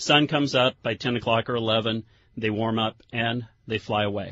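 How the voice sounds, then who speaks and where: An unremarkable speaking voice from a man, with fairly even intonation. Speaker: butterfly expert. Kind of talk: radio interview. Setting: studio.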